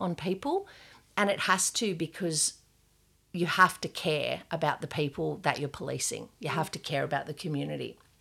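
A woman with an Australian accent, fairly low pitch, vocal fry and a bright, sharp tone, at a moderate pace with ordinary pitch variation, on a very clean recording with a silent background. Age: 50s. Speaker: gallery owner and former police sergeant. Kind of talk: casual interview. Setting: in her art studio.

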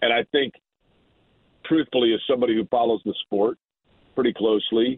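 With an unremarkable speaking voice, a man talks fairly quickly at a medium pitch and with fairly even intonation. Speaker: morning radio host and race broadcaster. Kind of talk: casual sports talk.

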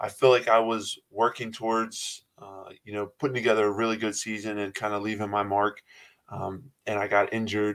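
On a very clean recording with a silent background, a man talks at a fairly low pitch with monotone, flat intonation and big swings in loudness. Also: moderate pace. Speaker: college basketball player. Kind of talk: casual interview. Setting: podcast interview.

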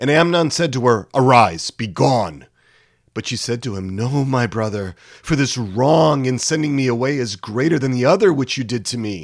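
A man's medium-pitched, unremarkable speaking voice at a moderate pace with lively intonation. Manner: solemn, measured, grave.

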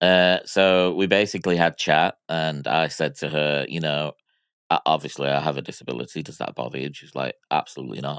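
The recording is very clean, with a silent background and a dry, close sound with no echo. A man with an American accent speaks at a very deep, low pitch with vocal fry and ordinary pitch variation. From Miami, US. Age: 40s. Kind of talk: casual chat.

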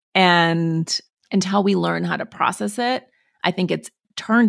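A woman with an American accent at a very slow pace, on a very clean recording with a silent background and a dry, close sound with no echo. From Montana, US. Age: 40s. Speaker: author. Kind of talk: interview.

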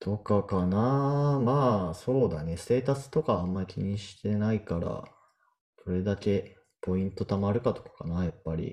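The voice moves at a moderate pace with a dark, mellow tone. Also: man, fairly low pitch for a man, ordinary pitch variation. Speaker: software engineer podcast co-host. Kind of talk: casual chat.

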